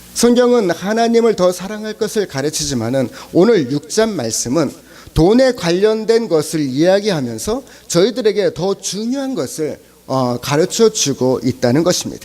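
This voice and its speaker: Amid noticeable background noise, a man with a high pitch speaks at a moderate pace, making very wide pitch swings. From South Korea, Chungcheong (Cheongju). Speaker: pastor. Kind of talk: sermon. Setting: church service. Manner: halting, many fillers.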